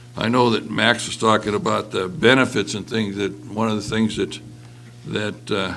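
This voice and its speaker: Over music in the background, a man with an American accent speaks at a fairly low pitch and moderate pace, with fairly even intonation. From western Montana. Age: 70s. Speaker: retired mill worker and union member. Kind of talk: panel discussion. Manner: halting.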